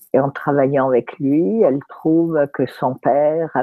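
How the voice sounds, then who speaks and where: A woman with a very deep, low pitch speaks at a very slow pace with fairly even intonation. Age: 70s. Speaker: therapist and speaker. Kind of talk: talk in an interview. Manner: halting, many fillers.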